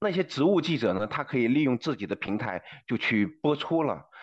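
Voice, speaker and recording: A man with an ordinary speaking voice talks at a moderate pace, his medium pitch carried by lively intonation against a quiet background. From China. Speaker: former journalist. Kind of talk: interview.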